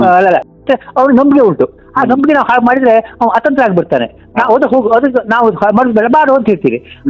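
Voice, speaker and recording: An extremely high male voice at a very even loudness with ordinary pitch variation. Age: 80s+. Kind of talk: phone call conversation.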